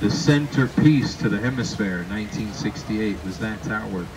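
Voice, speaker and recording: Over noticeable background noise, a man talks at a moderate pace. His pitch varies in an ordinary way. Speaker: tour boat captain guide. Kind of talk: tour guide commentary. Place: boat.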